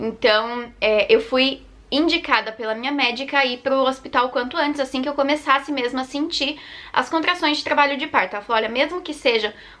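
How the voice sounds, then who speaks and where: Projecting a raised voice with a bright, sharp tone, a woman speaks at a fairly quick pace with a high pitch and ordinary pitch variation. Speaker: vlogger, mother. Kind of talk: personal birth story vlog. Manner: fast.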